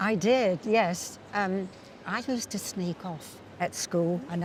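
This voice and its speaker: Speaking in an English accent, a woman uses a fairly low pitch with ordinary pitch variation. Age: 80s+. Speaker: amateur pianist and composer. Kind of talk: personal testimony.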